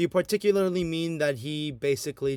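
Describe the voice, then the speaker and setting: A man has an unremarkable speaking voice. He talks at a moderate pace with ordinary pitch variation. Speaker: AP history tutor. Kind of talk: online review lecture.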